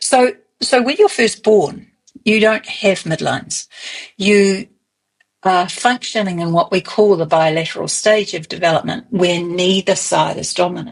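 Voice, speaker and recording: In a New Zealand accent, a woman speaks with ordinary pitch variation. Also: medium pitch for a woman, moderate pace. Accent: Kiwi. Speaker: early childhood movement expert. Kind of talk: interview.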